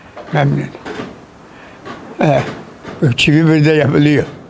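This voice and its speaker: Through noticeable background noise, a man with a fairly high pitch talks with fairly even intonation. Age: 80s+. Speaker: blacksmith. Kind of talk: interview answer.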